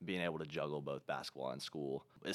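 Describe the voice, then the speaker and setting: A man's very deep, low voice with vocal fry, an American accent, and a very fast pace. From Ohio. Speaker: college basketball player. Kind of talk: casual interview.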